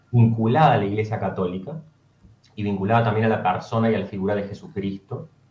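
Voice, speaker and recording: A fairly low, somewhat breathy male voice at a very fast pace with ordinary pitch variation. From Argentina, Córdoba. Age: 30s. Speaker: former seminarian. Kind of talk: interview. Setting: video call.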